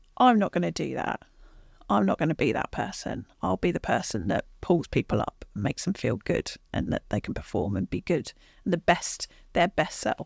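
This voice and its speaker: In a dry, close recording with no echo, a woman with a southern English accent speaks at a very deep, low pitch with vocal fry. Her pitch swings very widely at a moderate pace. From southern England, Watford. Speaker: sales executive. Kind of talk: interview. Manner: quiet; considered.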